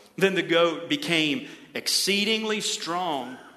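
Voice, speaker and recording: A man talks in a raised, projected voice. Audible room echo and noticeable background noise are present. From Ohio. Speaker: pastor. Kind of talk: sermon.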